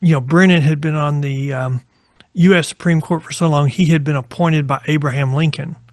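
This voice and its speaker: A somewhat breathy man with an American accent and a fairly high pitch. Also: fairly even intonation, fairly quick pace. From Texas (small town north of Abilene). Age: 60s. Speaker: lawyer. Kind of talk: interview.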